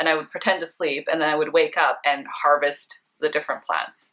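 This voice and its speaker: Bright and sharp in tone, a woman with a Canadian accent speaks at a fairly low pitch, with ordinary pitch variation and a moderate pace. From Vancouver, Canada. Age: 20s. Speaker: beauty blogger. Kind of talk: casual personal facts vlog.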